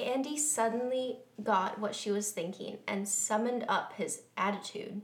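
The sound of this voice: What you hear is someone reading in an unforced voice.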